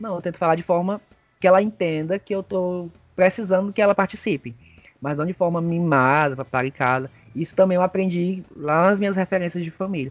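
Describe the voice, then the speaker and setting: A man speaks at a fairly quick pace in a high voice, with ordinary pitch variation. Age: 30s. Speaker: kindergarten teacher. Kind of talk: casual interview.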